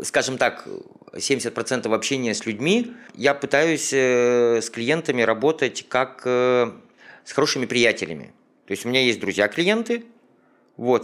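Slow-paced, this man has an unremarkable speaking voice with ordinary pitch variation. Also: very clean recording, silent background. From Ukraine. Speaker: business owner. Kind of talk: interview.

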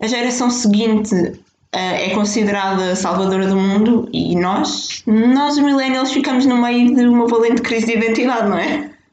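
A woman speaks in a European Portuguese accent, her pitch fairly high. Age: 20s. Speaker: podcast host. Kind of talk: solo monologue. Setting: home kitchen by fireplace.

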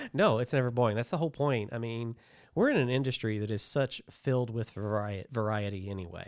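In a very clean recording with a silent background, a man with an unremarkable speaking voice talks at a fairly quick pace, his pitch medium and its variation ordinary. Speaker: branding agency owner and podcast host. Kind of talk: casual chat.

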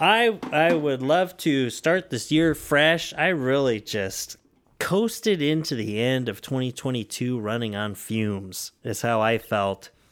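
A man speaks at a fairly slow pace in an ordinary speaking voice with medium pitch and lively intonation, on a very clean recording with a silent background. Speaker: podcast host. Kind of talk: casual chat. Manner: joking, playful.

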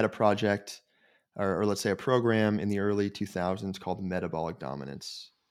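Recorded very cleanly against a silent background, a man with a plain, everyday voice speaks at a moderate pace and fairly low pitch. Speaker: sports nutrition company executive. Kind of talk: podcast interview.

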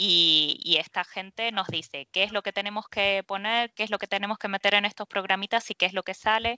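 A woman at a fairly quick pace with hardly any pauses, medium in pitch, with fairly even intonation. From Argentina, Mar del Plata. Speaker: structural engineer. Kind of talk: interview. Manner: halting.

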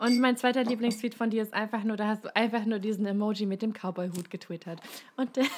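Over a silent background in a very clean recording, a woman talks at a very fast pace with a fairly high pitch and fairly even intonation. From Hesse, Germany. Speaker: podcast co-host. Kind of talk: casual chat.

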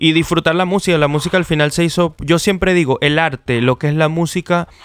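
A man speaks with a Venezuelan accent. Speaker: podcast host. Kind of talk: casual chat.

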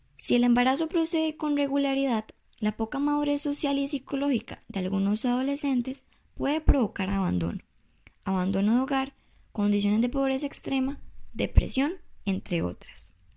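On a very clean recording with a silent background, a woman speaks at a high pitch and a moderate pace in a dark, mellow tone with lively intonation. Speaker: presidential candidate. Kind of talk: prepared campaign speech read aloud. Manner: formal, read from script with small repetitions.

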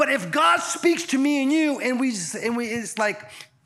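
Music plays in the background as a man speaks at a moderate pace in an animated tone. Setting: church with audience. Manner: animated, exhortative preacher's delivery with call-and-response; fervent, rhythmic repetition with stumbling restarts.

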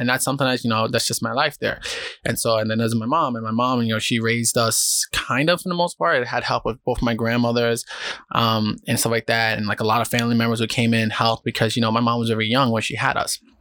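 A man talks at a very fast pace with a New York accent. His medium-pitched voice has a bright, sharp tone. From New York City, South Bronx. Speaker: podcast host. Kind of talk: casual solo monologue. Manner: calm, less energetic than usual.

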